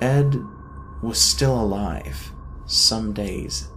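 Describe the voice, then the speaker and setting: A man at a very slow pace, very deep and low in pitch, with very wide pitch swings, long, frequent pauses and music in the background. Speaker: narrator. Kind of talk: horror story narration.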